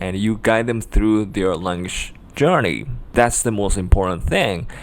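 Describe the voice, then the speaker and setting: The speaker is a man with a Japanese accent. His pitch is fairly low. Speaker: language tutor. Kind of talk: tutorial. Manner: hesitant, many fillers.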